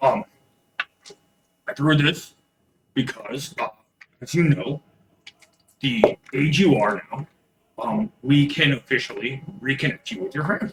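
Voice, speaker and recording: Someone does a put-on character voice, raspy and lively in intonation, at a moderate pace broken by long, frequent pauses. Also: man, fairly high pitch for a man. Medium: actual play. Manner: hesitant, halting, full of fillers.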